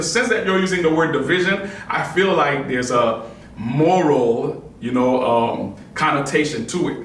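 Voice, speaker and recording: A man talks at a moderate pace with lively intonation, over noticeable background noise and audible room echo. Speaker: podcast host. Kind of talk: casual discussion. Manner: loud and lively; hesitant with many fillers.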